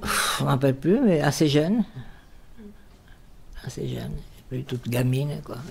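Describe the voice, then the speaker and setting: Amid noticeable background noise, a woman speaks at a fairly slow pace with long, frequent pauses and big swings in loudness. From Bordeaux, raised in the Basque Country. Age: 80s+. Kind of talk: life-story interview answer.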